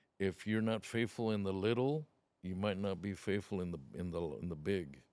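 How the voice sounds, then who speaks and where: A man with a normal speaking voice talks at a fairly low pitch and a moderate pace, with ordinary pitch variation. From Othello, Washington, US (born in Mexico). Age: 60s. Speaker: trucking business owner. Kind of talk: interview.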